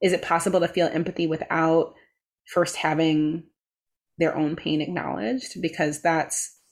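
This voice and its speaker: Here is a plain, everyday voice: a woman with an American accent, fairly low in pitch, at a moderate pace. Her intonation is fairly even, in a very clean recording with a silent background. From US Midwest, Chicago. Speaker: meditation teacher and author. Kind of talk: casual chat.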